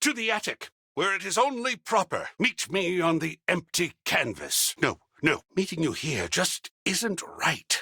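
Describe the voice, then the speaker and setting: Using a put-on character voice, a man speaks high and raspy in a theatrical tone with lively intonation. The pace is fairly slow, and the sound is dry and close with no echo. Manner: theatrical, effusive.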